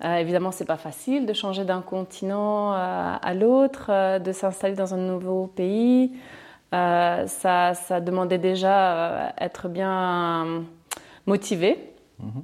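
A woman speaks at a very slow pace, her pitch medium with ordinary variation. Music plays in the background. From Chile. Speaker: property investor. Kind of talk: interview. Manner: halting.

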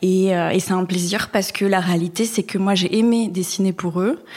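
The voice is unremarkable, with fairly even intonation. It moves at a fairly slow pace. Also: woman. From Basque Country, France. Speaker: designer. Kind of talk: interview.

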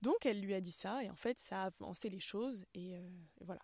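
The recording of a woman at medium pitch sounds dry and close, with no echo. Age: 20s. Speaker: podcast host and holistic therapist. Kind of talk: solo reflective monologue. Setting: outdoors. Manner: hesitant, with fillers and repetitions.

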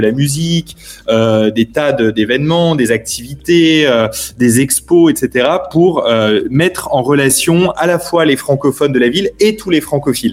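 Noticeable background noise surrounds a man's voice. He speaks fairly slowly at a fairly high pitch. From Paris, France. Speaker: newspaper editor. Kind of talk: interview. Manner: halting.

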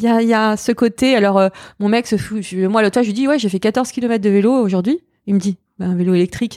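On a very clean recording with a silent background and a dry, close sound with no echo, a woman speaks at a fairly quick pace with a fairly high pitch, a dark, mellow tone and ordinary pitch variation. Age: 40s. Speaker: fashion journalist and podcaster. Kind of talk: casual interview chat. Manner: halting, repetitive.

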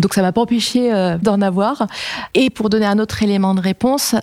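With a dark, mellow tone, a woman at medium pitch talks with fairly even intonation. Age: 40s. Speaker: engineering company executive. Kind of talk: casual interview, Q&A with students.

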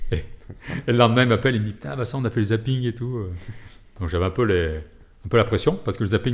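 A man's somewhat breathy, fairly low voice with ordinary pitch variation at a very fast pace. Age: 40s. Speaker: military rescue and firefighting unit officer. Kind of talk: interview.

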